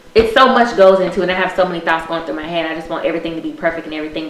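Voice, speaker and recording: A woman with a fairly low voice and ordinary pitch variation speaks amid noticeable background noise and audible room echo. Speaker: podcast host. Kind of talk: casual chat. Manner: fast.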